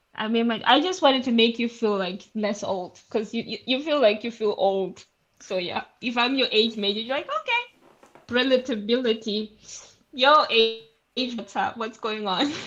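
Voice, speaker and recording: A woman's plain, everyday voice at fairly high pitch, moderate pace and ordinary pitch variation. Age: young. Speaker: teacher. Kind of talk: casual chat.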